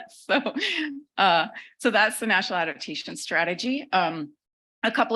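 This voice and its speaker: The voice has a bright, sharp tone in a very clean recording with a silent background. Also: woman. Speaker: government official. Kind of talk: conference presentation. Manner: fast.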